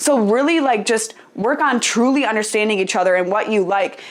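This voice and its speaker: At a fairly quick pace, a woman talks in an animated tone with a fairly high pitch. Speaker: podcast host. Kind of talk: casual advice podcast monologue. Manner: loud.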